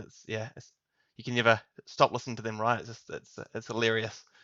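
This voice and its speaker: At a fairly quick pace, a man with a New Zealand accent talks in a medium-pitched voice. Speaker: tech consultant. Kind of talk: podcast interview.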